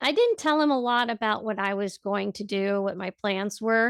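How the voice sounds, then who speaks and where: In a normal speaking voice, a woman talks at a moderate pace with fairly high pitch and ordinary pitch variation. The sound is dry and close, with no echo. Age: 60s. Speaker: health coach and podcaster. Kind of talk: interview conversation.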